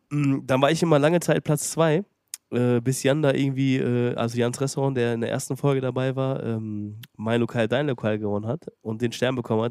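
This man talks at a fairly quick pace with fairly even intonation. His pitch is medium, and he has an unremarkable speaking voice. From Germany, Detmold (Lippe). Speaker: podcast host, restaurateur. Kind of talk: casual chat.

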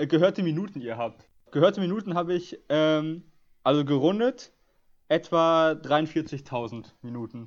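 Against a quiet background, a man talks in a plain, everyday voice. His pitch is fairly high and his intonation is lively. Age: 20s. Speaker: podcast host. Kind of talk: casual chat.

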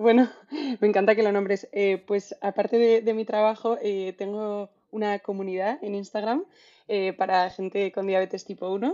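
A woman's plain, everyday voice at a medium pitch, with fairly even intonation and a moderate pace. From Spain, Madrid. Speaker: marketing manager. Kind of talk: casual interview.

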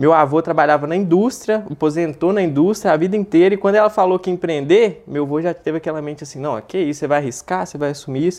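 A high-pitched male voice at a very fast pace with hardly any pauses. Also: ordinary pitch variation. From Minas Gerais, Brazil (Belo Horizonte). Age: 20s. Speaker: dropshipping entrepreneur. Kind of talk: casual interview. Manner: animated.

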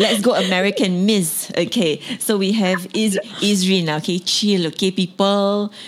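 Animated in tone, a woman with a Singaporean accent and medium pitch speaks at a moderate pace with very even loudness. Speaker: podcast host. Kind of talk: casual interview chat. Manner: animated, laughing.

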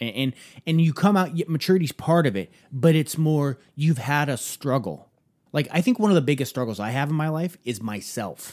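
A man speaks in a normal speaking voice at a moderate pace. His fairly high pitch carries lively intonation. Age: 30s. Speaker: podcast co-host. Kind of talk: casual chat.

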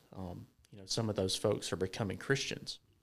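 Speaking at a moderate pace with fairly even intonation, a man talks with a Southern US accent. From US South, Georgia. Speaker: church member sharing testimony. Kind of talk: testimony.

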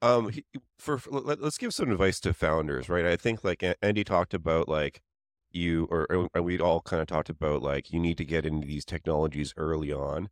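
Delivered at a fairly quick pace with ordinary pitch variation, the speech has a dry, close sound with no echo and a quiet background. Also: man, very deep, low pitch for a man. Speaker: startup founder and podcast co-host. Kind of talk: casual chat. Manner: hesitant, many filler words.

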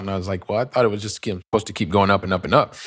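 A man's fairly low voice in a Midwestern US accent, with fairly even intonation. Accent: General American, Midwestern. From US Midwest (Ohio). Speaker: real estate investor. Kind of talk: interview. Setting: remote call.

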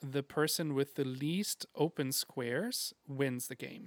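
Recorded very cleanly against a silent background, a man speaks at medium pitch with fairly even intonation and a dry, close sound with no echo. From Germany. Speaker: teacher, podcast co-host. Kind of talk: casual chat.

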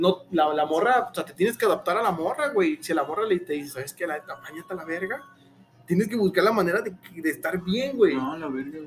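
Over noticeable background noise, a man talks fairly quickly in a high-pitched voice with lively intonation. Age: 20s. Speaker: podcast host. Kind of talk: casual chat. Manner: animated.

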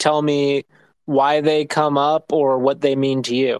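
This man has an ordinary speaking voice, fairly high in pitch, delivered at a fairly slow pace. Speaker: podcast co-host. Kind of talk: interview.

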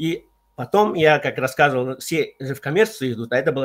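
The man has an unremarkable speaking voice at a medium pitch. He speaks at a fairly quick pace. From Central Asia. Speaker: consultant on team competencies. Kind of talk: online radio talk.

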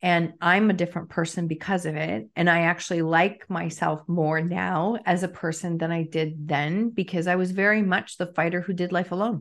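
An unremarkable speaking voice from a woman, fairly low and fairly even, at a moderate pace with hardly any pauses against a quiet background. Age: 50s. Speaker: author and coach. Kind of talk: interview conversation.

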